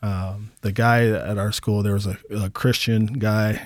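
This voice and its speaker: The recording is very clean, with a silent background. A man with a fairly low pitch speaks with an American accent in a monotone, flat intonation. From US Pacific Northwest, Portland, Oregon. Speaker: recovering alcoholic, community liaison. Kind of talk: radio interview, personal testimony.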